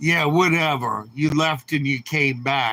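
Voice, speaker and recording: A man with an American accent and a bright, sharp tone, on a very clean recording with a silent background. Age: 70s. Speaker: livestream host. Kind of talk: casual chat. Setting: live stream with chat. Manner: animated.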